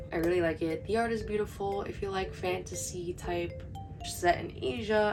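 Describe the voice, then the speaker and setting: A quiet woman at a moderate pace, with music in the background. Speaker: manga collector / booktuber. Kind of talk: casual talk to camera. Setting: home, heater noise in background. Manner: quiet, low volume.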